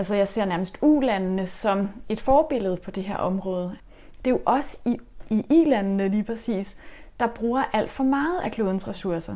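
At a moderate pace, a woman speaks at medium pitch with lively intonation and a dark, mellow tone. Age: 40s. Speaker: urban gardener. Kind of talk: interview. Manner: halting.

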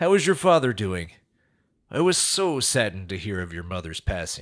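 A man's voice with very wide pitch swings, on a very clean recording against a silent background. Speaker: corporate CEO character giving a speech. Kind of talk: polished corporate speech to an audience. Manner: smooth, formal, folksy-charming.

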